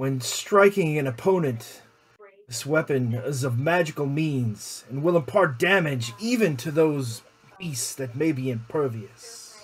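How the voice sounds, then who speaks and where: A man puts on a character voice pitched fairly high. He speaks at a fairly slow pace. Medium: actual play. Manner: persuasive, ominous.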